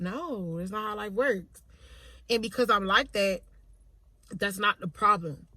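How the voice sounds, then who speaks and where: A loud, animated woman's voice with a bright, sharp tone, medium pitch, ordinary pitch variation and a moderate pace. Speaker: vlogger. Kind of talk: casual monologue.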